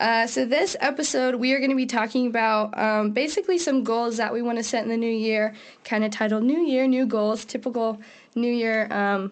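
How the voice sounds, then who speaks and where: This is a woman with an ordinary speaking voice and ordinary pitch variation. She talks fairly quickly at a fairly high pitch. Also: very even loudness. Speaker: podcast co-host. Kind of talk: casual chat.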